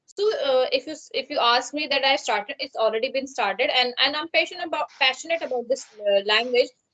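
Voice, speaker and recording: Projecting a raised voice with a bright, sharp tone, a woman with a Pakistani accent talks at a fairly quick pace with hardly any pauses, her high pitch showing ordinary variation. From India, Uttarakhand. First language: Pahari. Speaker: English learner. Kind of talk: conversation practice. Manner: halting.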